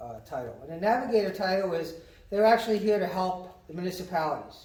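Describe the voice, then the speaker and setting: With audible room echo and noticeable background noise, a man talks at a fairly quick pace with ordinary pitch variation. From New England. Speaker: county economic development director. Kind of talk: informational talk at a business meeting. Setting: community meeting with audience. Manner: fast.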